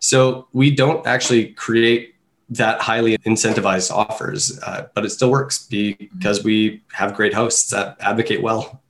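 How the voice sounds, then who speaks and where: This is a plain, everyday voice with a Canadian accent. It moves at a fairly slow pace with ordinary pitch variation and hardly any pauses. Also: man, medium pitch for a man. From Canada. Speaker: online marketing manager. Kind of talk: interview.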